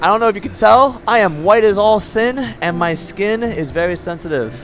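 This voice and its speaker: Against noticeable background noise, a man with a high pitch speaks in a relaxed tone with lively intonation. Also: moderate pace. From New York. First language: Spanish. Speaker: video game streamer. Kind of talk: casual live-stream chat. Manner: relaxed, casual, many fillers.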